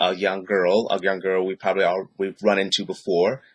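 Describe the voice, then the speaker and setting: In a plain, everyday voice, a man with a fairly low pitch talks at a moderate pace, sounding dry and close with no echo. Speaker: poet. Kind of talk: casual talk to camera.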